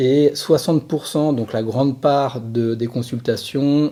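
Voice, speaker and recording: A man speaks at a very slow pace with fairly even intonation. His tone is dark and mellow. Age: 40s. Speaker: sports physiotherapist, former pro cyclist. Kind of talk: podcast interview. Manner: hesitant, many fillers.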